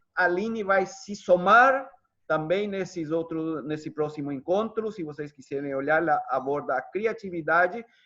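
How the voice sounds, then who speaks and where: A high-pitched male voice with lively intonation, a moderate pace, and a quiet background. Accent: Spanish. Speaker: psychologist. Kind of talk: online workshop closing remarks. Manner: halting, with many fillers.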